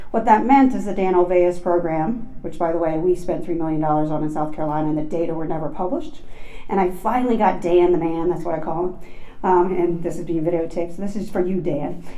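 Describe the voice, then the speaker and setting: Very fast speech with ordinary pitch variation, noticeable background noise and audible room echo. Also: woman, fairly low pitch for a woman. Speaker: professor of psychology. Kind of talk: lecture.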